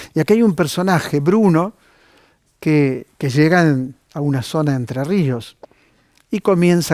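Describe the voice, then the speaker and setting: This man has an unremarkable speaking voice, pitched fairly high with ordinary pitch variation, and a fairly slow pace. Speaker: TV host, book reviewer. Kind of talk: TV book recommendations.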